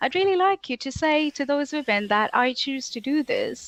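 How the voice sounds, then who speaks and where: A woman with a high pitch talks at a moderate pace, her pitch swinging very widely. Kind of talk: casual interview chat.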